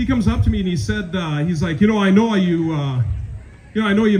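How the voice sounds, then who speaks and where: Room echo is audible as a man speaks with a Minnesotan accent at a fairly quick pace. His pitch is high and swings very widely. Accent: Minnesota. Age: 40s. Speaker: comedian. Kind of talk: stand-up.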